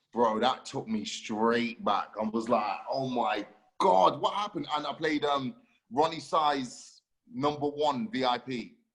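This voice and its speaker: A man's fairly high-pitched, a normal speaking voice, at a fairly slow pace. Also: lively intonation. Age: 30s. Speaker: podcast host and DJ. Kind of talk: casual chat.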